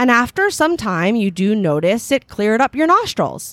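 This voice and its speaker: A woman talks at a fairly high pitch with very wide pitch swings. The recording is very clean and dry, close with no echo, and the background is silent. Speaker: podcast co-host. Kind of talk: casual chat. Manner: animated.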